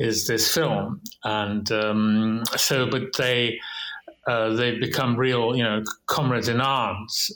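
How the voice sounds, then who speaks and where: Audible room echo surrounds a man with a medium pitch. He talks at a very slow pace, his loudness very even and his intonation fairly even. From Russia, St. Petersburg. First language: Russian. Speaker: documentary filmmaker. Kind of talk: interview. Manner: halting, many repetitions.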